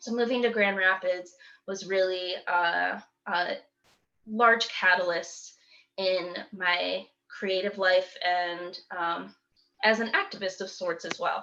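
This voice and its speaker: A woman with a Michigan accent speaks very slowly at a medium pitch, her bright, sharp tone carrying fairly even intonation between long, frequent pauses. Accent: US Midwest (Michigan). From Michigan, Kalamazoo. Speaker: poet and youth teaching artist. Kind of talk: talk to a community meeting. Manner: halting, many fillers.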